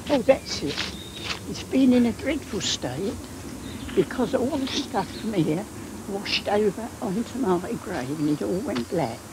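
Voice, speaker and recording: A woman with a medium pitch talks at a fairly slow pace, her pitch swinging very widely, with long, frequent pauses and noticeable background noise. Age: 80s+. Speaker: elderly villager. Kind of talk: interview testimony.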